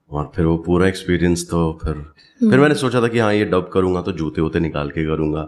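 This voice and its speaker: In a very deep, low pitch, a man speaks at a moderate pace with lively intonation. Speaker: voice actor, dubbing artist. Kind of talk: podcast interview answer. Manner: casual, conversational, reflective.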